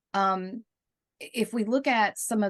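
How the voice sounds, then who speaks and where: A woman with a Southern US accent talks at a moderate pace. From US South. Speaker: interviewer. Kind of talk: interview. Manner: halting, many fillers.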